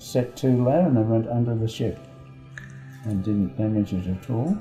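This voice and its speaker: Music plays in the background as a man of medium pitch talks at a moderate pace with ordinary pitch variation. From Australia, Sydney. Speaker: war veteran. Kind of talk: interview, recounting memories.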